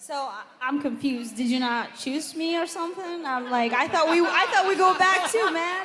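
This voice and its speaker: Raising and projecting her extremely high voice, a woman talks at a moderate pace with hardly any pauses and lively intonation. Crowd noise fills the background, and room echo is audible. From Ethiopia. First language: Amharic and Tigrinya. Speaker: singing contestant. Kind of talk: live onstage interview.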